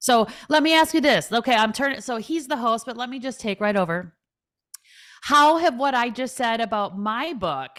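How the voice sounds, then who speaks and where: A woman with a Minnesotan accent speaks high in pitch, in an animated tone with lively intonation. The recording is very clean, its background silent. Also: moderate pace. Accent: Minnesota. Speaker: financial advisor and author. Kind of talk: podcast interview.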